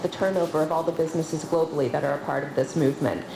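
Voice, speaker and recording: A woman talks at a very fast pace. Audible room echo and noticeable background noise fill the recording. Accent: Canadian. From Canada. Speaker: nonprofit leader. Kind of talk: conference panel talk.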